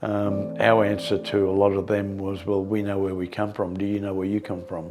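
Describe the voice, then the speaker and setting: In an Australian accent, a man speaks at a moderate pace and fairly low pitch in a monotone, flat delivery, with audible room echo. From Australia, Brisbane (Greek family). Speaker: community elder interviewee. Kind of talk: oral history interview. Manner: hesitant, many fillers.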